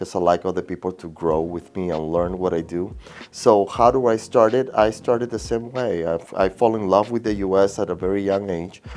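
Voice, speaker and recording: Speaking fairly quickly with a strong Peruvian accent, the man keeps his pitch variation ordinary. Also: fairly low pitch for a man. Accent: thick Peruvian Spanish. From Peru (Lima). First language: Spanish. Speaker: realtor. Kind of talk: interview. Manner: halting, repeats words.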